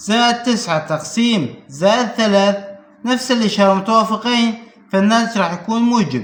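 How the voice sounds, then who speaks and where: Over noticeable background noise, a man with a Syrian accent speaks at a moderate pace, his high pitch showing ordinary variation and his loudness very even. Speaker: math teacher. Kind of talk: math lesson to camera.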